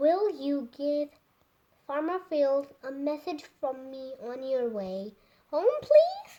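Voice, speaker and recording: In a put-on character voice, a woman speaks very slowly at a high pitch, with lively intonation and big swings in loudness. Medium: read story.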